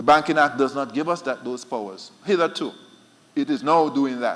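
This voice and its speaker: Speaking very fast, a man gets his words out. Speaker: central bank official. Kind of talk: conference panel talk.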